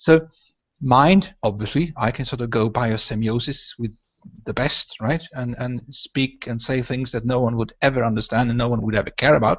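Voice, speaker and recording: A man with a Swedish accent speaks at a medium pitch. His pace is moderate, and the background is quiet. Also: ordinary pitch variation. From northern Sweden. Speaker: podcast host. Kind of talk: casual chat. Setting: video call. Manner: talkative.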